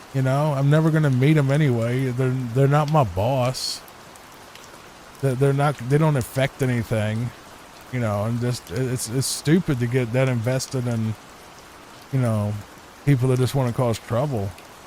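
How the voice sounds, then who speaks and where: Noticeable background noise sits behind a man speaking at a moderate pace and a medium pitch. His intonation is fairly even, with long, frequent pauses. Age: 30s. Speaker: gaming YouTuber. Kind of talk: casual chat. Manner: soft-spoken; calm.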